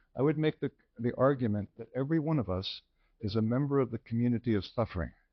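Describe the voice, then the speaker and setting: This man talks at a very fast pace. His pitch sits in the medium range with ordinary variation. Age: 60s. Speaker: physician, lecturer. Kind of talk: lecture.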